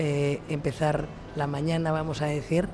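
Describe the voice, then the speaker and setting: A man with a fairly high-pitched voice speaks over noticeable background noise. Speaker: tourism promotion official. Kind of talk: radio interview. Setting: trade fair. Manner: halting.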